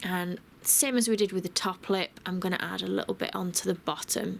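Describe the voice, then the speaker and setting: A woman speaks with a British accent. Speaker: cake decorator. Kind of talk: cake decorating tutorial voice over. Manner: casual, friendly.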